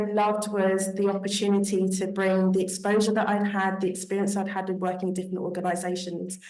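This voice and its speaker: A woman's monotone, flat delivery at a very fast pace with hardly any pauses, over noticeable background noise and audible room echo. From Britain. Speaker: panelist, diaspora professional. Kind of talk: panel discussion.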